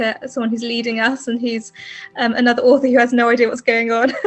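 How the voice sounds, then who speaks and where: Over music in the background, a woman talks in an English accent at a fairly high pitch. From England. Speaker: fantasy author. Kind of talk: interview. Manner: hesitant, many fillers.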